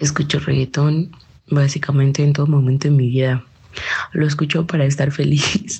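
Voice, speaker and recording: A woman's very deep, low voice with fairly even intonation. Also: moderate pace, very even loudness. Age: 20s. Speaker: interviewee, young listener. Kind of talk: casual interview.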